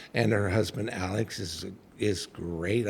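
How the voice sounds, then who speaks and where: This man's voice is fairly low in pitch, somewhat breathy, and shows ordinary pitch variation. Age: 60s. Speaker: psychic medium and minister. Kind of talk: casual chat.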